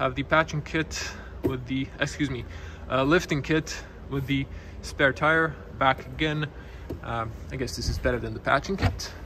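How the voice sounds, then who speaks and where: Moderate-paced male speech over clearly audible background noise. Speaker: car reviewer. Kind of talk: walkaround commentary. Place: shop. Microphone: phone near.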